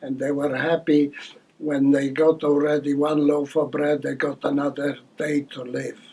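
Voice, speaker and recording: Amid noticeable background noise, a fairly high-pitched man speaks at a moderate pace with monotone, flat intonation. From Poland. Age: 80s+. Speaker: elderly care service user. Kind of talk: testimony.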